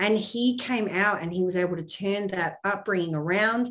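There is audible echo from the room. A woman talks, her intonation fairly even. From UK, Middle East and Australia. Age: 40s. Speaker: former journalist, financial services agent. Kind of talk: casual interview.

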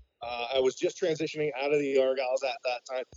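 An ordinary speaking voice moves along at a fairly quick pace. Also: man. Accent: Canadian. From Canada. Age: 40s. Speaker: military veteran, tool dealer. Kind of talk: interview conversation.

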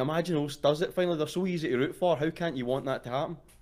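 A man with a Glaswegian accent. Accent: Glaswegian Scottish. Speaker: caller. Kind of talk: casual chat. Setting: online voice call.

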